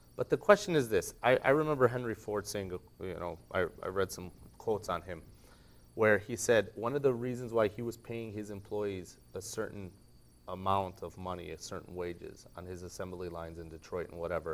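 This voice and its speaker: Speaking at a fairly quick pace, a man with a fairly low pitch and a plain, everyday voice shows ordinary pitch variation and big swings in loudness. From United States. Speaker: discussion guest. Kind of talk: discussion panel. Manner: casual.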